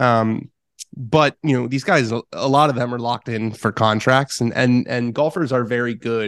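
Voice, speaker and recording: With an American accent, a man talks in an ordinary speaking voice at medium pitch and a moderate pace, with ordinary pitch variation and a quiet background. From US West Coast, Los Angeles. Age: 20s. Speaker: golf journalist and podcaster. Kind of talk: interview.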